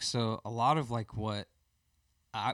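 A man with a Southern US accent speaks in a medium pitch. The recording is very clean, dry and close, with no echo and a silent background. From Birmingham, Alabama. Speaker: worship musician. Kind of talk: casual interview.

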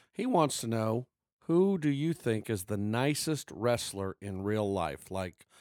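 Here is a man with an unremarkable speaking voice, fairly low in pitch and lively in intonation. The recording is very clean and dry, close with no echo, against a silent background. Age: 50s. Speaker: podcast co-host. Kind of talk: casual chat.

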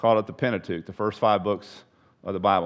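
A man's fairly low voice at a very fast pace, with ordinary pitch variation, against a quiet background. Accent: Texan. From Texas. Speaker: pastor / Bible study teacher. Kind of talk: Bible study lecture. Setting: church room with live audience. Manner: conversational, halting with repetitions.

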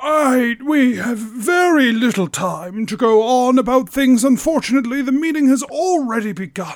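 In a put-on character voice, a man talks in an extremely high pitch with a pompous tone. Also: moderate pace. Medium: actual play. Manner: rambling, pompous, hesitant.

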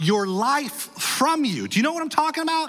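A man's raised, projected voice with very wide pitch swings, set against noticeable background noise. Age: 40s. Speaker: pastor. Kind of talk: sermon. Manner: animated.

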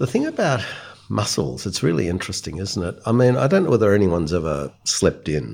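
Speaking with an Australian accent, a man uses a very deep, low pitch with very wide pitch swings and vocal fry. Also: fairly quick pace. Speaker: palliative care doctor. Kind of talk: panel discussion.

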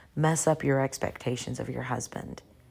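Very clean audio of a woman, with total silence behind her. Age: 40s. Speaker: podcast host, Bible teacher. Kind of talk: solo Bible teaching podcast.

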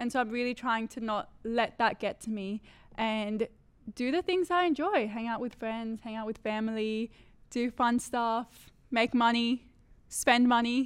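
A woman with an unremarkable speaking voice talks at a fairly slow pace, her pitch fairly high with ordinary variation. The recording is very clean, with a silent background. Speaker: law student, student society vice president. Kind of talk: casual chat.

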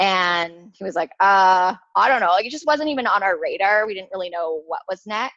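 Recorded with a dry, close sound with no echo, a woman with a normal speaking voice and medium pitch talks with ordinary pitch variation. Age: 30s. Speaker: hockey player's wife, online group creator. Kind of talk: casual chat.

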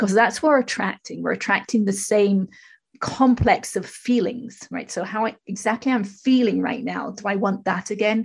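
A woman speaks with fairly high pitch and vocal fry. Her intonation stays fairly even. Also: moderate pace. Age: 50s. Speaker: spiritual teacher and public speaker. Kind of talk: casual interview. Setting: remote recording from her own studio.

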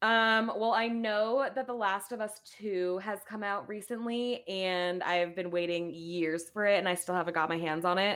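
Here is a woman with a normal speaking voice at a moderate pace. She uses ordinary pitch variation and hardly any pauses. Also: medium pitch for a woman. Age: 20s. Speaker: podcast guest, gamer. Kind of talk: casual chat.

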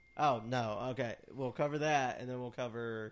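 Here is a man in a normal speaking voice. His pitch sits in the medium range. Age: 30s. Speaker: wrestling podcast host. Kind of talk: casual chat.

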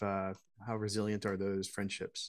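This very clean recording of a man's voice has a silent background. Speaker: association executive. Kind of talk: interview.

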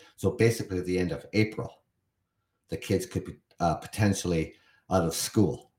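With a Canadian accent, a man talks at a moderate pace with long, frequent pauses, his somewhat breathy voice fairly low in pitch and showing ordinary pitch variation. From Canada. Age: 50s. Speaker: podcast host. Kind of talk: solo podcast monologue reading and commenting on an article. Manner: casual with many fillers and repetitions.

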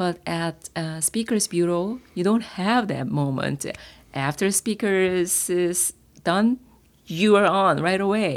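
With a Korean accent, the speaker goes at a fairly slow pace with ordinary pitch variation on a very clean recording with a silent background. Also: woman. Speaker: former teacher, public speaking club member. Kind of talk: interview. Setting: in-person recording at an office.

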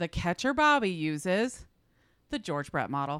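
Delivered at a moderate pace with a Midwestern American accent, this voice comes through on a very clean recording against a silent background. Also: woman. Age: 40s. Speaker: podcast host. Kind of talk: casual chat. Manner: laughs often.

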